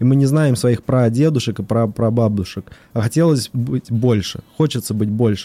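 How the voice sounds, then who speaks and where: With a moderate pace, this man's voice has a dark, mellow tone. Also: dry, close sound with no echo. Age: young. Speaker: company director and lay pastoral counselor. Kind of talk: casual chat; blessing. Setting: studio.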